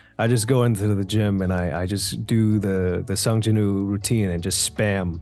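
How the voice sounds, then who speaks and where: Over music in the background, a man with a fairly low pitch talks at a moderate pace with hardly any pauses and fairly even intonation. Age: 20s. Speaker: voice actor. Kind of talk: interview answer.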